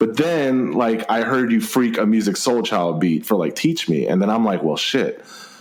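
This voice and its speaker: The speaker has an American accent and talks at a fairly quick pace. Pitch swings very widely against noticeable background noise. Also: man. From Texas. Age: 30s. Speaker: podcast host. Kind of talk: casual interview chat.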